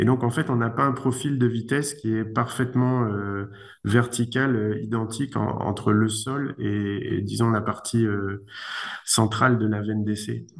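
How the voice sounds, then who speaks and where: There is audible room echo as a man of medium pitch speaks at a fairly slow pace with fairly even intonation. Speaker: engineer, research institute director. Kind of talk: conference talk, Q&A answer. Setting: video conference. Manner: hesitant, many fillers.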